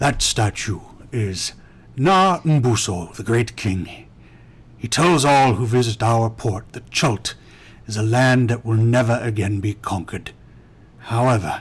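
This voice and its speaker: A man's put-on character voice at medium pitch, fairly slow, with long, frequent pauses. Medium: actual play. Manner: formal, measured.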